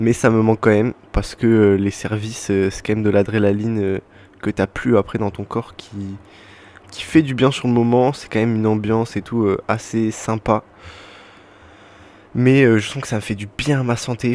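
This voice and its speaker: A man speaks at a fairly low pitch and a fairly slow pace with fairly even intonation. He leaves long pauses often. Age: 20s. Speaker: podcaster, former cook. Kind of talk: casual monologue podcast. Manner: hesitant, many fillers.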